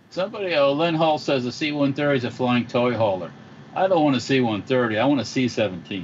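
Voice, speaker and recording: Noticeable background noise sits behind a man speaking at a fairly quick pace, with a medium pitch and lively intonation. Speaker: firearms dealer guest. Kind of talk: casual chat. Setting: video call.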